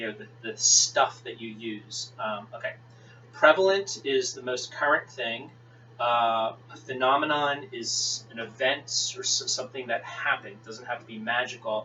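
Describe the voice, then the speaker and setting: At a moderate pace, with ordinary pitch variation and big swings in loudness, the voice comes through over noticeable background noise. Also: man, medium pitch for a man. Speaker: teacher. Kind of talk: lecture. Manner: halting.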